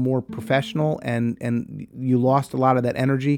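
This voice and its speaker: Pitch varies in an ordinary way as an unremarkable speaking voice proceeds at a moderate pace. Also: man. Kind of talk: interview commentary.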